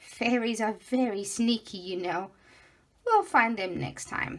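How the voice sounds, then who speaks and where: A woman's put-on character voice, fairly high in pitch, at a fairly slow pace. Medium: read story. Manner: enthusiastic, warm.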